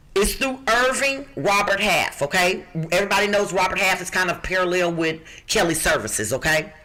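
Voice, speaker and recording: An animated tone rides on lively intonation at a moderate pace. Noticeable background noise sits behind the voice. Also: woman. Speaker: job recruiter, podcast co-host. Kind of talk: podcast job listings segment.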